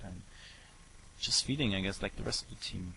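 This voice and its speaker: A man with a German accent and a bright, sharp tone. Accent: German accent, noticeable. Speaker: esports commentator. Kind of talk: live commentary. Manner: hesitant, many fillers.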